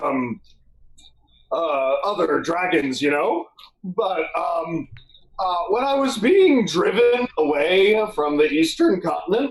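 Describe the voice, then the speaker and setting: A put-on character voice sits at a middle pitch. The delivery is at a fairly slow pace. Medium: actual play. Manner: hesitant, halting, many filler words.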